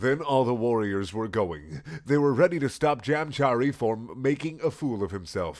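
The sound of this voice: A reading voice, unforced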